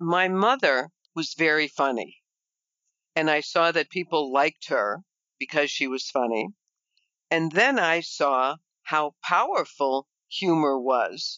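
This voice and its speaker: Speaking with an American accent, a woman has a very deep, low pitch and lively intonation. Her pace is fairly slow, with long, frequent pauses. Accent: Chicago accent, slightly reduced. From Chicago, US Midwest. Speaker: nurse and fitness business founder. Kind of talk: interview.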